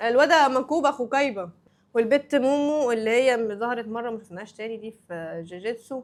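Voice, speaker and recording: In an Egyptian accent, the speaker goes at a moderate pace on a very clean recording with a silent background. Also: woman. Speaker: anime YouTuber. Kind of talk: casual vlog commentary. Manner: animated.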